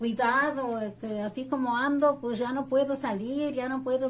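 A high-pitched woman speaks at a fairly slow pace with fairly even intonation. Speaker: interviewee. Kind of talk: interview answer. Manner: frail, strained, near-tearful elderly voice.

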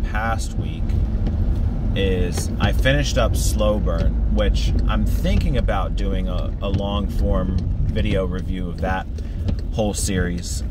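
A man talks at a very slow pace against loud background noise. The sound is dry, with no echo. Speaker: comics vlogger. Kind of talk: casual vlog chat. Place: car. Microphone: phone near.

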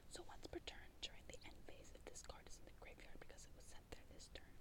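A woman at a moderate pace over loud background noise. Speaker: ASMR creator. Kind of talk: ASMR card deck profile, show and tell. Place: home room. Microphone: earbuds.

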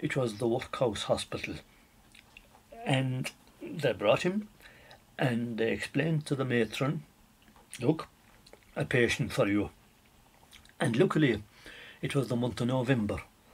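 A man with an Irish accent speaks at a fairly slow pace, leaving long, frequent pauses. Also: medium pitch for a man, lively intonation. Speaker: storyteller. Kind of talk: traditional folk tale telling. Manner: conversational, animated.

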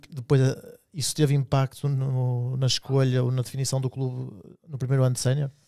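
This man's voice has a dark, mellow tone, recorded with a dry sound with no echo over a quiet background. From Portugal. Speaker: podcast host. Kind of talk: casual chat. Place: studio. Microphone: studio mic.

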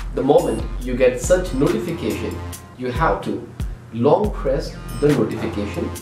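A man talks at a moderate pace over clear music in the background, with audible room echo. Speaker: tech channel host. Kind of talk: tutorial. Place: home room. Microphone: camera far.

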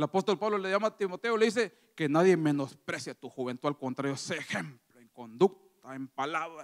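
Lively intonation and big swings in loudness mark this moderately paced speech over a quiet background. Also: man. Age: 30s. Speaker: lay preacher; preacher. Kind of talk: sermon. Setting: church. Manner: halting, frequent repetitions. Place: church. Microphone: handheld.

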